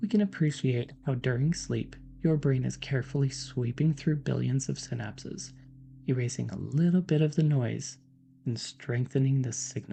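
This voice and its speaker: With a dark, mellow, somewhat breathy tone, a man speaks at medium pitch and a moderate pace with ordinary pitch variation. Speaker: PhD neuroscientist, science educator. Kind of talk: educational lecture, soft-spoken ASMR-style science explanation. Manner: soft-spoken, whispered, calm.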